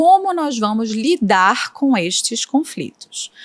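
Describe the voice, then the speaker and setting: A woman with a Recife accent, high-pitched, with very wide pitch swings. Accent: Northeastern Brazilian (Recife). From Brazil, Northeast (Recife, Pernambuco). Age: 30s. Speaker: prosecutor. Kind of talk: podcast interview. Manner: explanatory, didactic.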